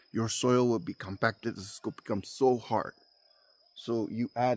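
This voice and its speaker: A man with a non-native accent speaks at a fairly slow pace, recorded very cleanly with a silent background and a dry, close sound with no echo. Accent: non-native English, self-described. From immigrant, foreign-born. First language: not English (fourth language). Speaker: farmer and homesteading vlogger. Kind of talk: outdoor farming tutorial vlog. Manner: casual, halting with fillers.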